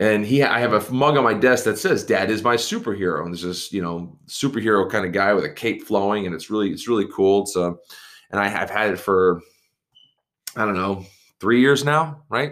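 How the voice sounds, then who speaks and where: Speaking at a fairly quick pace, a man uses an unremarkable speaking voice with a fairly low pitch and ordinary pitch variation. The recording is very clean, with a silent background. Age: 30s. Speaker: podcast host, father of three. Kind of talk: motivational monologue. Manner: casual, filler-heavy with repetitions.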